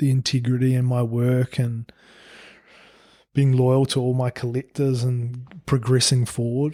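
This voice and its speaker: In a New Zealand accent, the speaker talks at a fairly slow pace in a dark, mellow tone with monotone, flat intonation and very even loudness. The recording is very clean, with a silent background. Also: man, medium pitch for a man. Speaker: painter and printmaker. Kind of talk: interview. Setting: studio.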